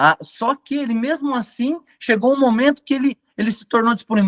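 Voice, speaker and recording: At a moderate pace, a man talks in an extremely high pitch, the sound dry and close with no echo. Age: 30s. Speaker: catechism trainer. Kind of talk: lecture.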